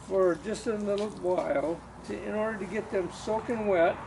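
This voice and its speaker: A man with a high voice speaks at a moderate pace in a fairly even tone, with noticeable noise behind him. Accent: American. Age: 70s. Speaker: retired home composter. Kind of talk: casual how-to narration.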